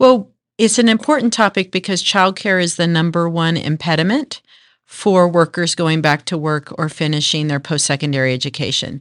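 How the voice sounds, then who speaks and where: Lively intonation marks an ordinary speaking voice moving at a moderate pace over a quiet background. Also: woman, fairly low pitch for a woman. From North Texas. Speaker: workforce agency executive. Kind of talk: interview.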